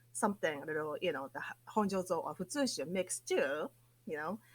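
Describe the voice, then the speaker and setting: In a Japanese accent, a woman's medium-pitched voice makes very wide pitch swings on a very clean recording with a silent background. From Japan, Akita prefecture. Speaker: sake PR company president. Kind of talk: interview. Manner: animated.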